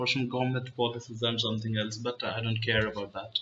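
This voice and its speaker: Against noticeable background noise, a man with an Indian accent speaks at a medium pitch in a monotone, flat way. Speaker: chess YouTuber. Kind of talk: casual vlog monologue. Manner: halting, many fillers.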